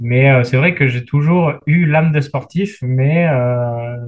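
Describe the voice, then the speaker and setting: Very slow and somewhat breathy, a man talks at a fairly high pitch with ordinary pitch variation. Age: 30s. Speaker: general practitioner and paratriathlete. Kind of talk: casual interview.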